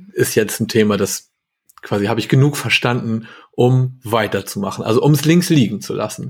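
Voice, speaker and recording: This is an unremarkable speaking voice, moving at a moderate pace. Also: man. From northern Germany, Hamburg. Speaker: software developer. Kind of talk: casual chat.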